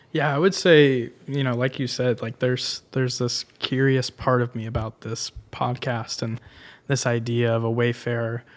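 The recording is very clean, with a silent background. A man with a normal speaking voice talks at a moderate pace and medium pitch, his intonation fairly even. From Tampa, Florida. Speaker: podcast producer. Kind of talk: casual chat.

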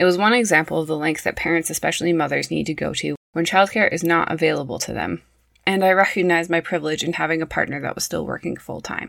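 Someone with a western Canadian accent speaks at a very fast pace on a very clean recording with a silent background. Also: woman. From Prince George, British Columbia, Canada. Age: 30s. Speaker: early childhood educator and podcast host. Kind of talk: scripted solo podcast narration.

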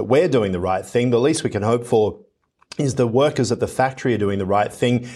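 A man with an Australian accent at a very fast pace, ordinary pitch variation, on a very clean recording with a silent background. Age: 40s. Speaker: news anchor. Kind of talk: news interview.

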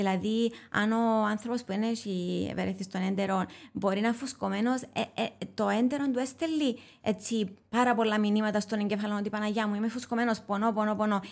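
In a Cypriot accent, the speaker talks at a moderate pace with very even loudness and fairly even intonation. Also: woman, fairly high pitch for a woman. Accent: Cypriot Greek. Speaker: molecular biologist and author. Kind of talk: expert interview. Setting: studio. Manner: halting, many fillers.

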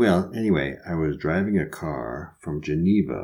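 Very deep and low, a man's dark, mellow voice with vocal fry and an American accent moves at a fairly slow pace with ordinary pitch variation. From US Midwest. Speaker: podcast co-host. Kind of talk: storytelling and comedic banter.

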